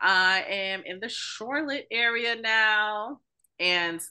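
Spoken at a very slow pace in a New York accent, this bright, sharp voice has ordinary pitch variation over a quiet background. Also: woman. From New York City. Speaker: podcast co-host. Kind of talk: casual chat.

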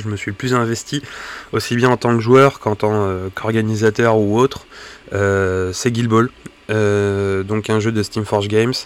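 This man speaks at a medium pitch. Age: 30s. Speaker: podcaster, wargaming hobbyist. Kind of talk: solo podcast monologue. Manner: halting, many fillers and repetitions.

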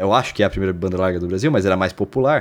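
Here a man speaks in a normal speaking voice, fairly low in pitch, with ordinary pitch variation. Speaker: podcast co-host. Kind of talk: casual chat. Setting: remote recording, not in the same place.

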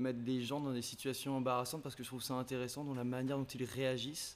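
This man speaks at a medium pitch. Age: 20s. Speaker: business student. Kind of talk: casual chat.

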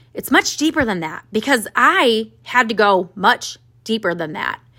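A woman speaks at a fairly slow pace and fairly high pitch, with lively intonation and an animated, bright, sharp tone. The recording is very clean, with a silent background. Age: 30s. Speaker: podcast host and business coach for women entrepreneurs. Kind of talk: solo podcast monologue.

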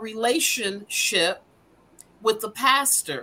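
A woman's bright, sharp voice with an American accent, at a very slow pace. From Denver, Colorado. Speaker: minister and foster mother. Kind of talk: casual chat. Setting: video call.

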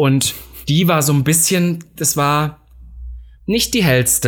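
A man with a somewhat breathy voice delivers his words very slowly. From eastern Germany, Saxony-Anhalt. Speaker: podcast co-host. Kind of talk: casual chat.

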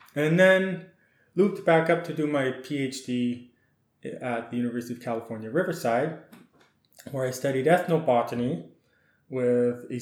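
A man speaks at medium pitch with a western Canadian accent and ordinary pitch variation, and audible room echo surrounds him. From Saskatchewan, Canada. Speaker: ethnobotanist and garden design consultant. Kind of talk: interview. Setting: podcast recording.

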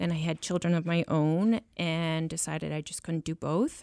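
A woman with an ordinary speaking voice and a fairly low pitch talks at a fairly slow pace, in a dry, close sound with no echo on a very clean recording with a silent background. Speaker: home downsizing business owner. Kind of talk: interview.

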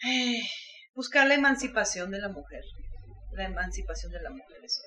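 A woman is speaking. Her pace is moderate. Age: 40s. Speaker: filmmaker. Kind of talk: interview.

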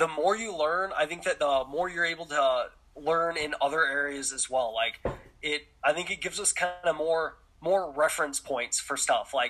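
A man with an American accent has a plain, everyday voice at a fairly high pitch. His pace is moderate and his pitch variation ordinary. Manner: casual, relaxed, lots of filler words.

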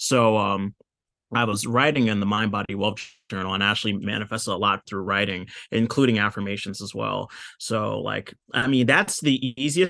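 Against a quiet background, a man with an American accent speaks at a moderate pace in a bright, sharp tone, his fairly low pitch showing ordinary variation. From US. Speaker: law of attraction practitioner. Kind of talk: casual chat. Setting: call.

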